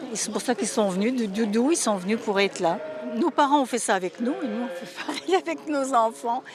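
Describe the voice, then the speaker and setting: A woman with a fairly high pitch talks at a fairly quick pace, her intonation lively. Noticeable background noise runs behind her. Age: 70s. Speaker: pilgrim. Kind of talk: interview.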